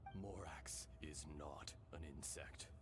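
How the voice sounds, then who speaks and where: A man performs a put-on character voice. Loud background noise fills the recording. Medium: fan dub. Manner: calm, measured.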